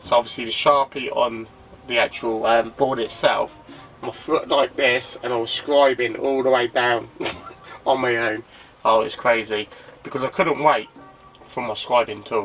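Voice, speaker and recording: Music plays in the background as a man speaks at medium pitch. He talks at a fairly slow pace with long, frequent pauses. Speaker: DIY vlogger. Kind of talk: casual vlog.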